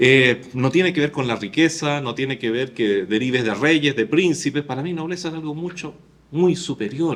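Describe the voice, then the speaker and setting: A man with an unremarkable speaking voice, fairly high in pitch, talks at a moderate pace with ordinary pitch variation. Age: 60s. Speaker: pastor. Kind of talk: sermon.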